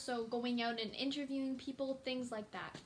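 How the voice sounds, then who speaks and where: Against noticeable background noise, a woman with a Canadian accent speaks at a high pitch in a monotone, flat intonation. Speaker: YouTuber. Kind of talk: casual vlog talk. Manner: fast.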